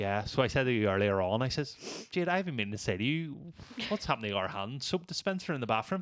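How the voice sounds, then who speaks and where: A man with a Northern Irish accent talks at a very fast pace. His pitch swings very widely. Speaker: podcast host. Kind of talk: casual chat.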